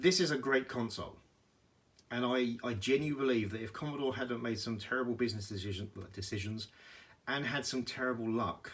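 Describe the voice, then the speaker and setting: The speaker has a British accent and ordinary pitch variation. The pace is fairly quick. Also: man, medium pitch for a man. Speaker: retro gaming YouTuber. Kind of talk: casual video tour. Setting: home room, handheld camera. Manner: hesitant with fillers.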